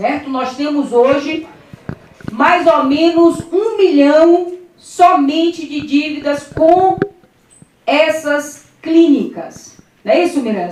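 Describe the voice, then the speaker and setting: A loud, high-pitched woman with ordinary pitch variation, at a very slow pace with long, frequent pauses, in audible room echo. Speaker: politician. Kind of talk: press conference. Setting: press conference room with audience.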